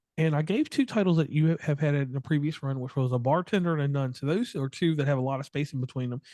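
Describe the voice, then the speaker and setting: Against a quiet background, a man with a slight Appalachian accent talks at a very fast pace, his dark, mellow tone set at a fairly high pitch with ordinary pitch variation. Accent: slight Appalachian twang. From West Virginia. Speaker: podcast host. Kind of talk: interview podcast.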